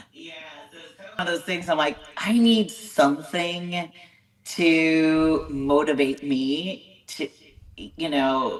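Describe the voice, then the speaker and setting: In an American accent, a woman speaks very slowly at a fairly low pitch, with ordinary pitch variation and big swings in loudness. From California. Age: 40s. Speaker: bodybuilding show promoter and competitor. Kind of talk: podcast interview. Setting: video call.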